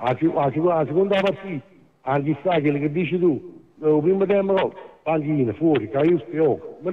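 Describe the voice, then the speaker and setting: A man speaks at a fairly slow pace with a fairly high pitch and ordinary pitch variation. His loudness is very even, over light background noise. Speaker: caller. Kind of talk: heated debate commentary. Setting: phone call. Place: studio.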